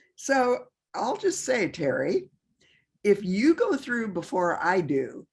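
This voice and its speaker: Very slowly, a woman speaks at a fairly high pitch with very wide pitch swings and vocal fry. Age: 80s+. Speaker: spiritual community leader. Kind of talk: group video call conversation. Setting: video call.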